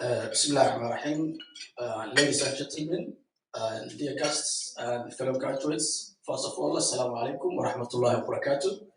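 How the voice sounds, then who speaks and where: A man talks at a fairly quick pace. Room echo can be heard. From Somalia. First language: Somali. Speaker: graduate. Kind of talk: acceptance speech. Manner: halting.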